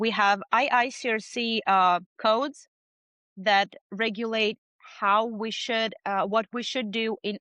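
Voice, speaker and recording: This woman talks at a fairly slow pace, her fairly high voice held to a fairly even intonation. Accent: non-native. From outside the US. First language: not English. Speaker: business owner in water damage restoration. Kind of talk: podcast interview.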